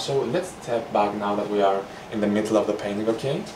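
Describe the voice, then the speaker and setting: With a Greek accent, a man talks at a fairly quick pace and medium pitch amid noticeable background noise and audible room echo. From Greece. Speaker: painting instructor. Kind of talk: tutorial. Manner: casual, relaxed.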